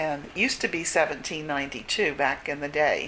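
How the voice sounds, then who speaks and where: A woman with a very deep, low pitch and a bright, sharp tone. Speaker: retired teacher and church historian. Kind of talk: interview answer.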